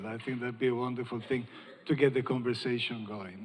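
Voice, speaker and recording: A man talks with an Italian accent. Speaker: panel moderator, cancer researcher. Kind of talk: panel discussion moderation.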